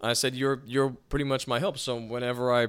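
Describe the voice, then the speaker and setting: On a very clean recording with a silent background, a man with an unremarkable speaking voice talks fairly quickly at medium pitch. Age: 20s. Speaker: podcast host. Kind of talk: casual chat.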